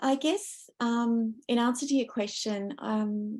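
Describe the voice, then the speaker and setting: A woman with an Australian accent, a dark, mellow tone and fairly even intonation, over a quiet background. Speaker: academic researcher. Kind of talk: panel discussion. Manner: loud.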